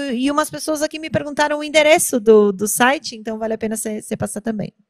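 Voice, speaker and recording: The woman's voice has a dry sound with no echo. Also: quiet background. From Brazil. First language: Portuguese. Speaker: event moderator. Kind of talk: stage interview moderation. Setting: stage at an innovation event. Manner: halting. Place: stage. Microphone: handheld.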